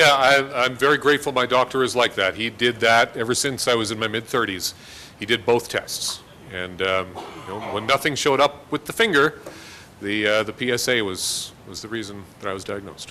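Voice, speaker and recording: With a Canadian accent, a man talks at a fairly quick pace and a medium pitch. He has a normal speaking voice with ordinary pitch variation. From Winnipeg, Canada. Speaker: TV meteorologist and guest speaker. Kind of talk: audience Q&A.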